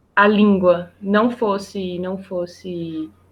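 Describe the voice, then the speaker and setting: A woman's medium-pitched, monotone voice with flat intonation, over a quiet background. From Brazil. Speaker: project manager, biologist and environmental engineer. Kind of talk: interview. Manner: halting, with many repetitions.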